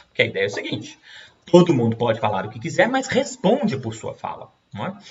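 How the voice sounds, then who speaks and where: Very wide pitch swings mark this man's high voice. He talks at a very fast pace. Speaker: law professor. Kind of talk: lecture.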